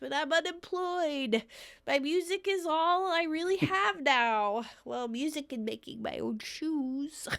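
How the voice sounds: A woman puts on a character voice that is nasal and high in pitch. She speaks at a fairly slow pace.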